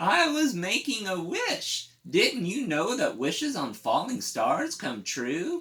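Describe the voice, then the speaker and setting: A man's put-on character voice, high in pitch, with very wide pitch swings at a fairly slow pace. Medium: read story. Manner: soft, tender.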